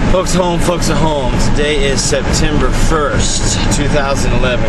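A man speaks over loud background noise. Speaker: vlogger. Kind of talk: casual vlog chat. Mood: joking, storytelling. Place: car. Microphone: phone near.

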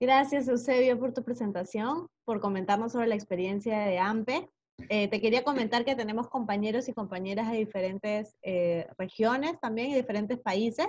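A fairly high, somewhat breathy woman's voice against a quiet background. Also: ordinary pitch variation, moderate pace, hardly any pauses. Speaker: course facilitator, presenter. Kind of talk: moderated webinar. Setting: video call. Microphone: video call.

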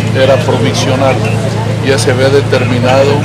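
A man speaks over loud background noise. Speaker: church official. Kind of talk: interview answer. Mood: serious, somber. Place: street. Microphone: handheld.

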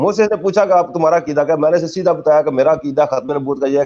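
At a moderate pace, a man is talking. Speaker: questioner in debate; questioner. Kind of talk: religious debate. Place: home room. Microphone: video call.

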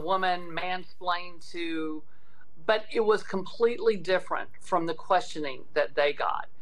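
The woman delivers her words at a fairly slow pace. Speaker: state legislator. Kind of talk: interview answer. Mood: earnest, indignant. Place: home room. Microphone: video call.

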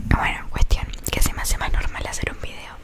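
Whispering at a moderate pace, a woman speaks. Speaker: ASMR content creator. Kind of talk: casual vlog chat. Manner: soft close-mic ASMR talking. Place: home room. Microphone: studio mic.

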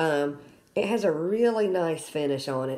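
A woman speaks at a fairly low pitch. Light background noise can be heard. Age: 50s. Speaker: product reviewer. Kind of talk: product review tutorial. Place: home room. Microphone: phone near.

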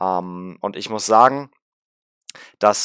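Recorded dry with no echo and a quiet background, a man speaks with ordinary pitch variation. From Berlin (Rudow); Berlin. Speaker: gaming YouTuber. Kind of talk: film review vlog. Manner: casual, many filler sounds.

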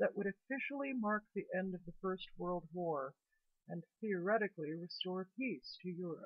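A woman speaks at a moderate pace and with ordinary pitch variation, the background quiet. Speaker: video journal host. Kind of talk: history commentary. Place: home room. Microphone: webcam.

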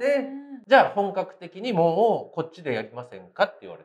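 There is light background noise behind a man's high-pitched voice. He talks at a fairly quick pace with very wide pitch swings. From Japan. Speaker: comedian. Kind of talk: casual interview. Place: cafe.

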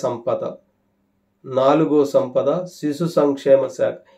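A man with a fairly high voice speaks in a dark, mellow tone with fairly even intonation over a quiet background. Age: 50s. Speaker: farming YouTuber. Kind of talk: monologue to camera. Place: home room. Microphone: phone near.

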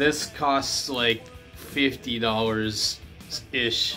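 A man speaks with faint music in the background. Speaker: record collector reviewer. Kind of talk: casual review vlog. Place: home room. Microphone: phone near.

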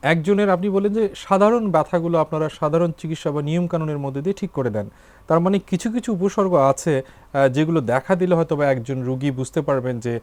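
A man's high-pitched voice moves with lively intonation. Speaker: TV health show host, doctor. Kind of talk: TV talk show interview. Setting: TV studio.

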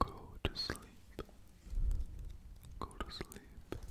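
A soft-spoken man's whispering. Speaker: ASMR creator. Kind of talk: soft whispered sleep-inducing talk. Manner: soft close-mic whisper. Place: home room. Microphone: studio mic.

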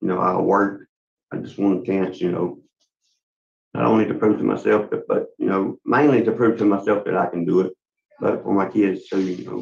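Speaking at a moderate pace, a man talks with a Louisiana accent. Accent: Southern US (Louisiana). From western Louisiana, Leesville area. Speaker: inmate at parole hearing. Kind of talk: testimony. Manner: halting. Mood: earnest, pleading. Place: office.

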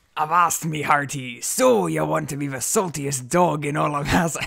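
A man's fairly high, raspy, put-on character voice. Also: moderate pace. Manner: hammy, theatrical.

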